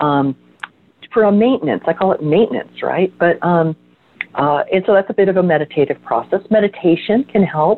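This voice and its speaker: A woman with an ordinary speaking voice talks at a medium pitch, her intonation lively and her loudness very even. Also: moderate pace. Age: 60s. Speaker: energy healer. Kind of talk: casual chat.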